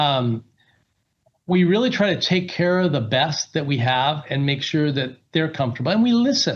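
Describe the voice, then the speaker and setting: A man talks at a moderate pace in a fairly high, somewhat breathy voice with lively intonation. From US Pacific Northwest (Seattle), teens in Las Vegas. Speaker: company executive, guest speaker. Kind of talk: guest lecture. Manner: conversational, filler-heavy.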